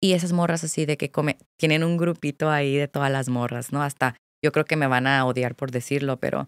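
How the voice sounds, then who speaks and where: A woman at a fairly quick pace, her voice dry with no echo against a quiet background. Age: 20s. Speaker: content creator; podcast guest, content creator. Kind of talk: casual chat. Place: studio. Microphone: studio mic.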